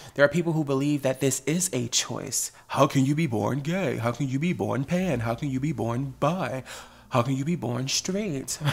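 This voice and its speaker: With ordinary pitch variation and a somewhat breathy quality, this voice proceeds at a moderate pace. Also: man, fairly high pitch for a man. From US Northeast (New Jersey). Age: 30s. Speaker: podcast host. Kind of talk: casual chat. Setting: studio.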